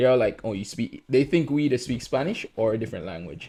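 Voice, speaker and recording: With vocal fry and lively intonation, a man talks at a fairly quick pace in a medium pitch. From Jamaica. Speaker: podcast host. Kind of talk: casual chat.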